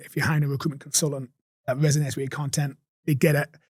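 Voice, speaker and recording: The voice has a strong Geordie accent, a dark, mellow tone and a somewhat breathy quality. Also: man. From Newcastle upon Tyne, England. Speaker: recruitment agency owner. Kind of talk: podcast interview answer. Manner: energetic, blunt.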